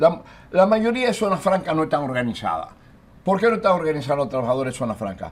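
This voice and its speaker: This man talks at a very fast pace with a fairly high pitch. His pitch swings very widely. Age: 80s+. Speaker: trade union leader. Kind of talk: TV interview.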